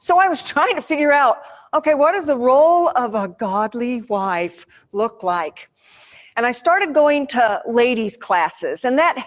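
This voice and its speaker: A woman speaks loudly in an animated tone at a high pitch, her voice making very wide pitch swings. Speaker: church women's speaker. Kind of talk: seminar talk. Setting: church seminar room with audience and microphone.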